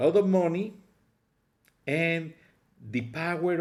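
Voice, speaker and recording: A man with a strong Mexican accent talks at a fairly slow pace. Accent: heavy Mexican Spanish. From Mexico. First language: Spanish. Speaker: political commentary vlogger. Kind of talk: political opinion monologue.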